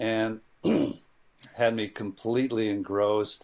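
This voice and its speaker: A man's ordinary speaking voice at a medium pitch, with ordinary pitch variation. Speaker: filmmaker. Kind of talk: interview conversation.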